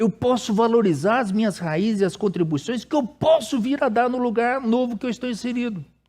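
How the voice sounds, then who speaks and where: A man speaks at a high pitch in a dark, mellow tone. The background is quiet. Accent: Brazilian. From Brazil. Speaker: pastor. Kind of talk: sermon. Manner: casual, conversational with hesitations.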